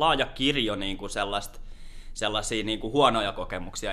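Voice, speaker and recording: Audible room echo surrounds a man whose bright, sharp tone carries fairly even intonation. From Lahti, Finland. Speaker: peer support worker. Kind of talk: casual interview. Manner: calm.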